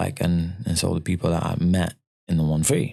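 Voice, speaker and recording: A man talks in a very deep, low pitch with a dark, mellow tone. His intonation is flat and monotone, and the recording is very clean with a silent background. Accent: London. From Malawi, then UK (London, later northern England). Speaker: rapper. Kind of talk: interview.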